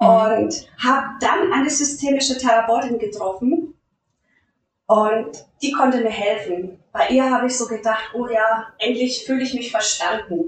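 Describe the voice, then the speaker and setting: A woman's high-pitched voice, fairly slow, with lively intonation. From Lower Franconia, Bavaria. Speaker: life coach, former nurse. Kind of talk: interview.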